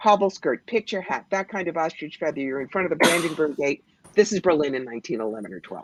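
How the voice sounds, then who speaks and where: A woman with a very deep, low pitch speaks in an animated tone at a very fast pace, her pitch swinging very widely. The sound is dry and close, with no echo. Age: 60s. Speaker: psychic. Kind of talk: live psychic reading on call-in radio.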